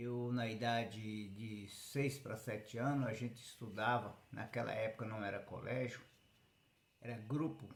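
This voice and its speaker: A man speaks at a very slow pace in a medium pitch, somewhat breathy, with fairly even intonation and audible room echo. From Brazil, Goiás (interior). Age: 60s. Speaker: rural man telling his life story. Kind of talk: personal life story monologue.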